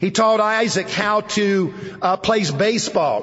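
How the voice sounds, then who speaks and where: Over noticeable background noise, a man talks in a high pitch. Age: 60s. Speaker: preacher. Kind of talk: sermon. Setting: campus chapel service.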